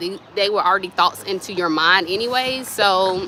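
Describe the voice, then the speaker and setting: A soft-spoken woman at a moderate pace, with ordinary pitch variation and noticeable background noise. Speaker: spiritual wellness vlogger. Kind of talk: casual spiritual advice talk. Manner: soft-spoken, speaks low; casual, meandering.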